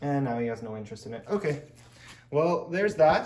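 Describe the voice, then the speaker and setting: A man's very fast, lively-intoned speech with audible room echo. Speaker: pet-keeping YouTuber. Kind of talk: tutorial. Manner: casual.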